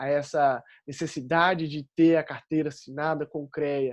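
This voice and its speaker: The speaker is a man with a Minas Gerais accent. The background is quiet. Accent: Minas Gerais accent, kept. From Minas Gerais, Brazil. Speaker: engineering graduate speaker. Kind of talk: panel talk.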